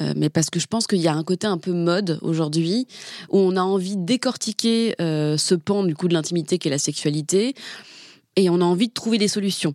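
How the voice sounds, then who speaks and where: The recording is very clean, with a silent background and a dry, close sound with no echo. A woman with a fairly low pitch talks at a fairly quick pace with ordinary pitch variation. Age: 30s. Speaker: journalist. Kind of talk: casual chat. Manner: halting.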